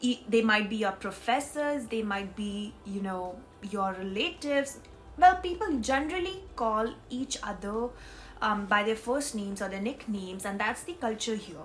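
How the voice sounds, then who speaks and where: Music plays in the background as the speaker talks at a moderate pace. The intonation is lively. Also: woman, fairly high pitch for a woman. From India. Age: 20s. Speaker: vlogger. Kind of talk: casual vlog. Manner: hesitant, with fillers.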